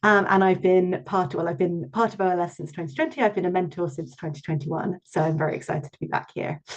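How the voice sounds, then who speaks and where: Speaking with a British accent, a woman has a fairly low pitch. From London, England. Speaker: researcher and mentor giving a talk. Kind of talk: online presentation. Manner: hesitant, many filler ums.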